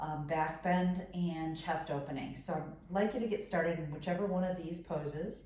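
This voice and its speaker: Over noticeable background noise, a woman with an American accent and a fairly low pitch speaks at a moderate pace with fairly even intonation. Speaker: yoga teacher. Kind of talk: guided meditation and yoga instruction. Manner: calm, gentle, instructive.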